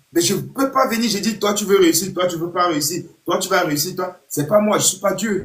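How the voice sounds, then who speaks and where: A loud, high-pitched male voice at a moderate pace. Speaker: youth football coach. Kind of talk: live stream pep talk to young players. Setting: online live video stream.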